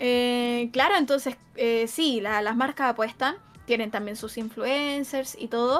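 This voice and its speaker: Speaking with a Chilean accent, a woman talks at a fairly slow pace in a high pitch. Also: ordinary pitch variation. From Chile, Santiago. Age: 20s. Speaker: esports caster. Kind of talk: casual interview chat.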